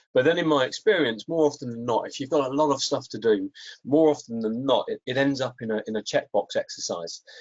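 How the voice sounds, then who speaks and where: A man with a fairly high pitch and ordinary pitch variation races along at a very fast pace. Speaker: risk analysis presenter. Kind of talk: webinar presentation. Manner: hesitant, many repetitions.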